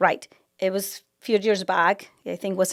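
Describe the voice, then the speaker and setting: Someone with a strong Mexican accent speaks at a moderate pace in a very clean recording with a silent background and a dry, close sound with no echo. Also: woman. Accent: thick Mexican Spanish. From Mexico. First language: Spanish. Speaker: architect. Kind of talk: casual conversation.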